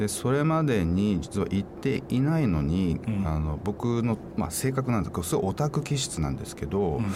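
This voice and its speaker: Noticeable background noise sits under a man with a fairly low pitch and very wide pitch swings. He talks at a moderate pace with hardly any pauses. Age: 50s. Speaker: author and environmental advocate. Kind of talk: radio interview.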